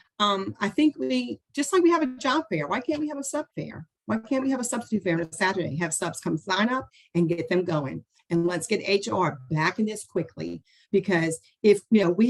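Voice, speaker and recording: A woman speaks at a moderate pace in a medium pitch, her animated tone marked by very wide pitch swings and vocal fry. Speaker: school board candidate. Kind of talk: interview.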